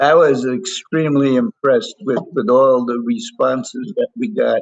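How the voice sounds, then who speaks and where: This speaker has an American accent and very wide pitch swings at a moderate pace. The sound is dry and close, with no echo. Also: man, fairly high pitch for a man. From New York. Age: 90s. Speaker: World War II Navy veteran. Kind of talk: interview answer. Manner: hesitant.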